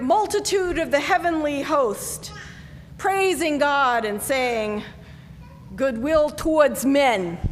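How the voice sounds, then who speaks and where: Recorded with noticeable background noise and audible room echo, a woman with an American accent speaks very slowly at a high pitch with lively intonation. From US South, North Carolina. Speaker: pastor. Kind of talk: sermon.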